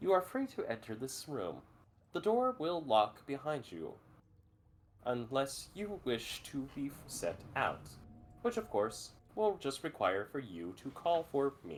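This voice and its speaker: A man speaks at a fairly slow pace in a put-on character voice, pitched fairly high. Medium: actual play. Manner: formal, procedural, polite.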